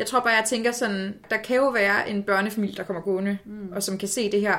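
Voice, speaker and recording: At a fairly quick pace, the words come in an ordinary speaking voice. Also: woman. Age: 20s. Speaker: political science student. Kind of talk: casual chat. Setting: in a flat, recording in person.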